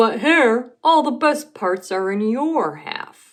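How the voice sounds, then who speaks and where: Against a quiet background, a female-sounding put-on character voice speaks at a high pitch and a very slow pace. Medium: read story. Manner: slow, drowsy.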